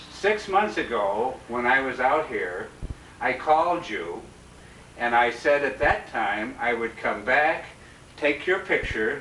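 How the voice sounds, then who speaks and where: Speaking very slowly over noticeable background noise, a man uses a fairly high pitch and lively intonation. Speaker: former student interviewer. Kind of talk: interview questions.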